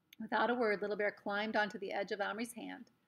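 An unforced reading voice is heard. It carries the whole clip.

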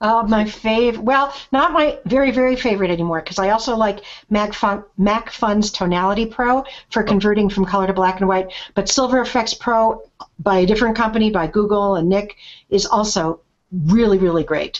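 An ordinary speaking voice from a woman, fairly high in pitch, at a fairly quick pace with very even loudness and ordinary pitch variation. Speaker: podcast host. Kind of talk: casual chat. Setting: video call.

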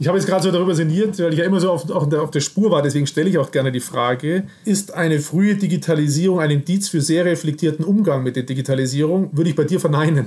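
At a very fast pace, a man with a fairly high pitch talks with hardly any pauses and very even loudness. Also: ordinary pitch variation. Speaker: podcast host. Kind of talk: interview conversation. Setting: Skype video call. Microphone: laptop fan noise, imperfect sound.

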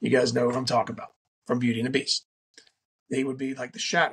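Recorded dry and close with no echo, a man speaks at a medium pitch. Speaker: podcast host. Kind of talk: solo podcast monologue on faith and self-improvement. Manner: casual with frequent fillers and restarts.

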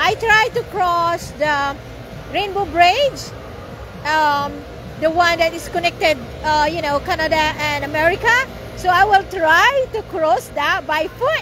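A woman's extremely high voice at a fairly slow pace, long, frequent pauses, dry sound with no echo and light background noise. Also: ordinary pitch variation. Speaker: family vlogger. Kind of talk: casual vlog chat. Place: street. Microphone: phone near.

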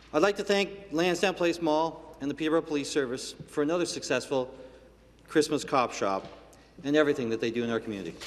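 Talking at a very fast pace, a man uses lively intonation and a fairly high pitch. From Canada. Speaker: provincial legislator. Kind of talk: parliamentary statement. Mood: warm, appreciative. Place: hall. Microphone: podium.

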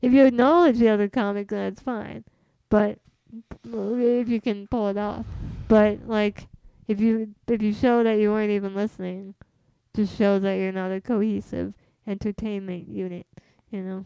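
With an American accent and a dark, mellow tone, the voice moves at a moderate pace with fairly even intonation and long, frequent pauses. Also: woman, medium pitch for a woman. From US West Coast, San Jose, California. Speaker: comedian. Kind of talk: casual chat.

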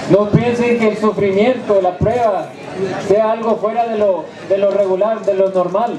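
A man with a high pitch and fairly even intonation talks at a fairly slow pace over noticeable background noise. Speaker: preacher. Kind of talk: sermon to inmates, preaching from the Bible. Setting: prison. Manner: fervent, exhorting, call-and-response; emphatic, direct, pleading.

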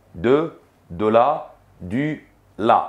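His pace is moderate and his pitch varies normally. The man is heard against a quiet background. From Egypt. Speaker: French teacher. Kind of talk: lecture. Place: studio. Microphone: lapel.

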